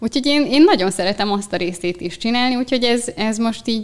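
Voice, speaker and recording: A woman at medium pitch, very fast pace and lively intonation. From Hungary, Eger. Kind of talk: interview conversation.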